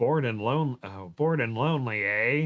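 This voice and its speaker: A put-on character voice at a moderate pace. Its pitch rises and falls in an ordinary way. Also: man. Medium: read story. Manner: slow, wary.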